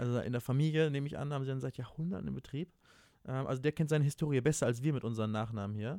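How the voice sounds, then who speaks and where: A man's medium-pitched voice with a dark, mellow tone and ordinary pitch variation, at a very fast pace, in a dry, close sound with no echo on a very clean recording with a silent background. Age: 20s. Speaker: podcast co-host. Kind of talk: casual chat.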